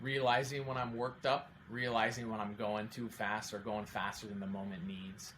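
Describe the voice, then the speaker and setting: Heard with audible room echo, a man talks at a moderate pace with ordinary pitch variation. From Oregon, Salem. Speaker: accountant and amateur triathlete. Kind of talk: podcast interview.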